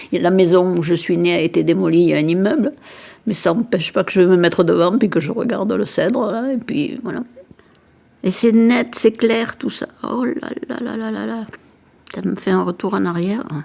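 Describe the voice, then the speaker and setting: Speaking at a moderate pace, a woman makes very wide pitch swings and takes long, frequent pauses. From southern France, Montpellier. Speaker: interviewee recalling childhood. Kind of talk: personal reminiscence.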